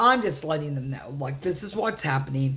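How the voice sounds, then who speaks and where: In a room with audible echo, a woman speaks with lively intonation. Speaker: vlogger, solo van traveler. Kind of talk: casual storytelling vlog. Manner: halting, filler-heavy.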